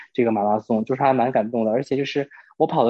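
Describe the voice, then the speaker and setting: This is a man speaking. His pace is very fast. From Northeast China. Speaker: podcast guest. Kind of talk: casual chat. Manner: animated.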